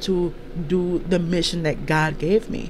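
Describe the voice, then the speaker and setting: Over light background noise, a man speaks in an animated tone. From US East Coast, mainly New Jersey; born in Jamaica. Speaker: podcast host and life coach; show host. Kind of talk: casual solo monologue. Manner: animated, halting with many fillers. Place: home room. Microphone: handheld.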